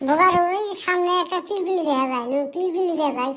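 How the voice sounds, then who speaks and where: This squeaky, cartoonish character voice sits at an extremely high pitch and moves at a moderate pace. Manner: teasing, mocking.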